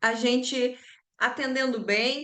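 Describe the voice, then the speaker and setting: In a Rio Grande do Sul accent, a woman speaks with monotone, flat intonation. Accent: gaúcho accent from Rio Grande do Sul. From southern Brazil, Rio Grande do Sul. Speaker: sales trainer and business mentor. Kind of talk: online class. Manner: conversational, frequent fillers.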